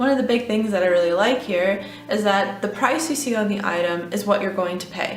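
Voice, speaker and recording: A woman speaks at a fairly quick pace with ordinary pitch variation. Noticeable background noise runs beneath her. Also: medium pitch for a woman. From Texas, USA. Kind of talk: casual talk to camera.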